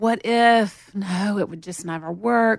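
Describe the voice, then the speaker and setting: This woman speaks with a Southern accent. Her pitch variation is ordinary. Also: quiet background. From US South, Montgomery, Alabama. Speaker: record label general manager. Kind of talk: casual chat. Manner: drawn-out vowels.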